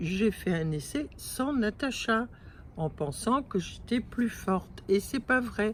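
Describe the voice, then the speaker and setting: A woman speaks very slowly in a somewhat breathy, fairly high voice with lively intonation. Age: 70s. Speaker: weight-loss client. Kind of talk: testimony. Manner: halting.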